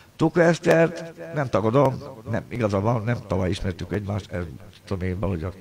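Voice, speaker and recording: A man talks at a very fast pace in a fairly low, somewhat breathy voice with very wide pitch swings. Light background noise is audible. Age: 60s. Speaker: pianist and livestreamer; livestreamer. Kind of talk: angry livestream rant. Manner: agitated. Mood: aggrieved, complaining. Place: home room. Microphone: earbuds.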